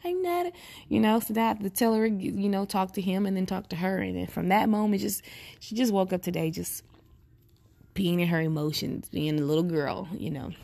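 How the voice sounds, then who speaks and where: A woman's dark, mellow voice at a medium pitch, with ordinary pitch variation and a fairly quick pace. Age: 30s. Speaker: podcaster, single mother. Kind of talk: personal monologue. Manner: casual, conversational.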